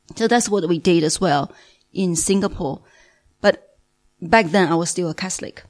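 A moderate pace broken by long, frequent pauses, with a Chinese accent. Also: woman, fairly low pitch for a woman, ordinary pitch variation. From Beijing, China. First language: Mandarin Chinese. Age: 40s. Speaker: language teacher. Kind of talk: testimony. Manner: halting.

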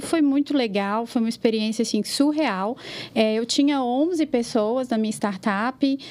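A woman's fairly high voice moves at a fairly slow pace, its pitch varying in an ordinary way, while noticeable background noise sits behind her. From Minas Gerais interior, Brazil. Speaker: marketing manager. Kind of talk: casual chat.

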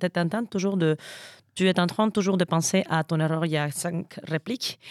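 In a Spanish accent, a woman with fairly low pitch speaks at a moderate pace with ordinary pitch variation, her sound dry and close with no echo. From Mexico, Veracruz. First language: Spanish (speaking French). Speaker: stage actor. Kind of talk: casual interview.

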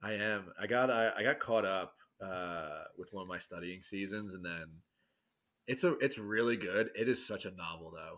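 In an American accent, a man with an unremarkable speaking voice talks at a moderate pace and a fairly low pitch, with ordinary pitch variation and big swings in loudness. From New York City area. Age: 30s. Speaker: podcast guest, church volunteer. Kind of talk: casual chat.

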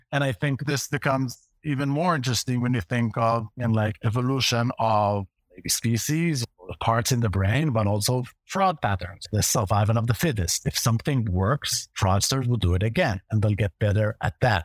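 Recorded very cleanly against a silent background, a man talks at a moderate pace with an Israeli accent. The sound is dry and close, with no echo. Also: medium pitch for a man, ordinary pitch variation, hardly any pauses. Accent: Hebrew-accented English. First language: Hebrew. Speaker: fraud prevention executive. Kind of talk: casual interview conversation.

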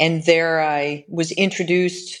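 A woman with an American accent speaks in a very deep, low pitch and flat, monotone intonation. The background is quiet. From Michigan. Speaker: lawyer. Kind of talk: interview.

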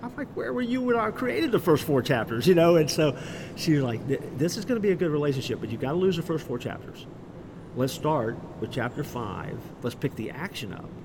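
Here a man talks in an American accent at a fairly high pitch. He moves at a fairly quick pace with very wide pitch swings. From Florida, Orlando. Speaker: pastor and author. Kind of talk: interview. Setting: live event.

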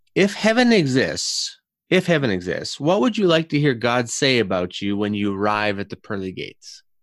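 A man with a Canadian accent and very wide pitch swings, on a very clean recording with a silent background. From Canada. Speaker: podcast host. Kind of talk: casual interview chat.

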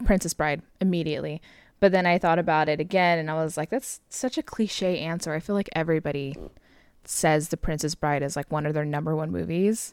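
A woman talks at a fairly quick pace with an American accent and a very deep, low pitch. Her pitch varies in an ordinary way, and the sound is dry and close with no echo. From Southern California. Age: 20s. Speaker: podcast co-host. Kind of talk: casual chat. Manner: frequent laughter, relaxed.

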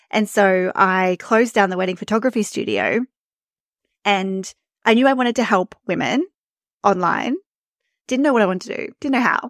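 In an Australian accent, a woman speaks at a medium pitch with ordinary pitch variation and long, frequent pauses. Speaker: email marketing and visibility coach. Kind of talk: casual interview chat. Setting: remote call. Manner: fast talker.

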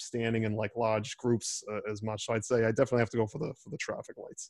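A man with a Boston accent rattles along at a very fast pace in a flat monotone at medium pitch. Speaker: law student podcast host.

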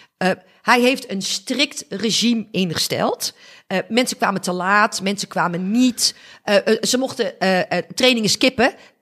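With an energetic tone, a woman talks fairly slowly at a fairly high pitch, showing ordinary pitch variation. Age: 50s. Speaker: business coach. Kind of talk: interview. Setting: at her apartment.

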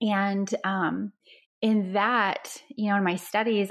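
In an American accent, a woman speaks with monotone, flat intonation. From Dubai and Istanbul, American mother. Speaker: holistic doctor and relationship coach. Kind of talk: interview podcast.

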